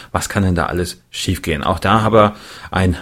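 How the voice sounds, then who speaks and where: A man's very deep, low voice, somewhat breathy. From Thuringia, Germany (Erfurt). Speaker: podcast host. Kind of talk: casual chat and interview; scripted narration.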